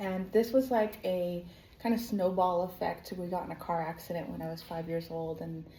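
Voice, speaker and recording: A woman with a fairly low pitch and a dark, mellow, somewhat breathy tone speaks at a moderate pace with ordinary pitch variation and big swings in loudness. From United States. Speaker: online business coach, former dancer and performer. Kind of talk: personal testimony. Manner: casual, filler-heavy (like, um).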